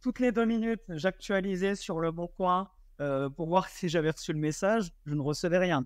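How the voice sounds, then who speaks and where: The background is quiet as a man talks in a high voice. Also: ordinary pitch variation, moderate pace. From eastern France. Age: 20s. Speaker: short-term rental investor. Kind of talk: podcast interview. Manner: animated storytelling.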